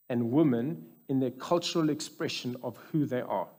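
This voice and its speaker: At a moderate pace over a quiet background, a man speaks in a dark, mellow tone with a fairly high pitch. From South Africa. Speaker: anaesthetist and medical researcher speaking at a church conference. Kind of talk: conference talk. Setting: stage with audience. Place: church. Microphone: headset.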